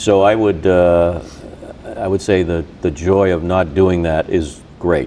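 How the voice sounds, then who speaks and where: A man speaks at a very slow pace with a very deep, low pitch. His intonation is fairly even over noticeable background noise. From Boston area. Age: 60s. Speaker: radio host. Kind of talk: casual chat. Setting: in-person recording at a gym.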